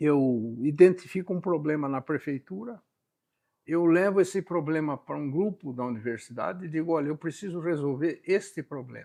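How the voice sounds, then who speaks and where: In quiet surroundings, a man's fairly high voice carries a dark, mellow tone, with normal rise and fall in pitch and a moderate speed. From Brazil, São Paulo state interior. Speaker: scientist and professor. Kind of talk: podcast interview.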